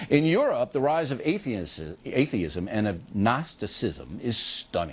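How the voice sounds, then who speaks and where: With vocal fry and a medium pitch, a man speaks in very wide pitch swings. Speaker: TV talk show host. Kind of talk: TV news show hosting. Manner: brash, smug.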